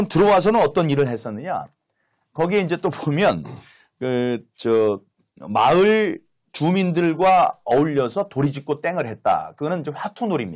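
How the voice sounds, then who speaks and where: A man with a fairly high pitch and lively intonation at a moderate pace, on a very clean recording with a silent background. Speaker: former lawmaker, political commentator. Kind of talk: political talk-show discussion. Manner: hesitant, many filler sounds.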